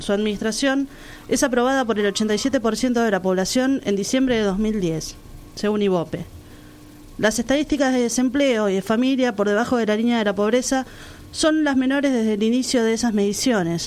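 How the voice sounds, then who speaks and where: At a moderate pace, a woman with a normal speaking voice talks at a fairly high pitch, with ordinary pitch variation and very even loudness. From Argentina, La Plata. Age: 30s. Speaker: radio co-host. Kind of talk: scripted narration; casual chat.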